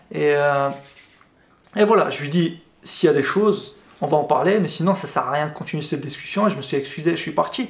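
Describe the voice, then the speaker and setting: A man's fairly high voice at a fairly quick pace, with ordinary pitch variation and audible room echo. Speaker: YouTuber. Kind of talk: casual vlog storytelling. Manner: fast; hesitant, filler words and repetitions.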